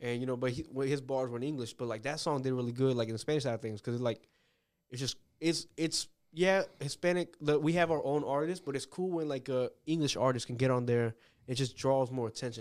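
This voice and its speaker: A man with an ordinary speaking voice and an American accent talks at a fairly quick pace, medium in pitch with ordinary variation, on a very clean recording with a silent background. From Northern Virginia, US. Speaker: podcast host. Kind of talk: casual interview.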